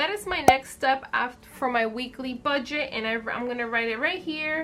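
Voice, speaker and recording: High-pitched speech from a woman at a moderate pace, with ordinary pitch variation over noticeable background noise. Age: 20s. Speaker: budgeting video creator. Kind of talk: casual how-to talk to camera.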